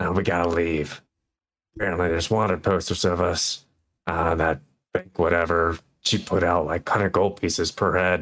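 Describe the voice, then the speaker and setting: A man's put-on character voice, very deep and low, raspy and monotone, at a moderate pace with very even loudness, in a very clean recording with a silent background. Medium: actual play. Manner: blunt, terse.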